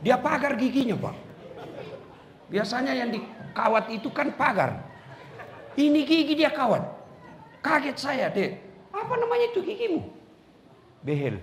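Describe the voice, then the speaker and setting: Crowd noise fills the background. A man speaks at a moderate pace in a relaxed tone. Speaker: Islamic preacher; university lecturer. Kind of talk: religious sermon. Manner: humorous, relaxed.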